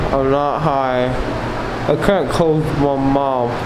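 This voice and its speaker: A man is heard over noticeable background noise. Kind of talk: casual vlog chat. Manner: slurred, groggy post-surgery speech, mouth stiff. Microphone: phone near.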